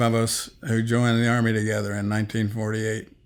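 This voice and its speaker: At a moderate pace, a man of medium pitch speaks with an Appalachian accent. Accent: Appalachian American. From Appalachia, southwestern Virginia and West Virginia. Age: 80s+. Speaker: elderly interviewee, army veteran. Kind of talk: interview, life story.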